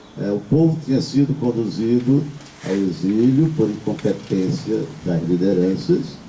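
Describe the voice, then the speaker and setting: Amid audible room echo and noticeable background noise, a man speaks very slowly at a medium pitch. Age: 60s. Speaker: priest. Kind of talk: sermon. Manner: halting.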